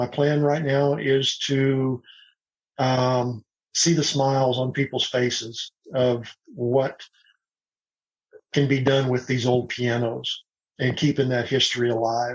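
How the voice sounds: At a slow pace, a man speaks at medium pitch with little pitch movement.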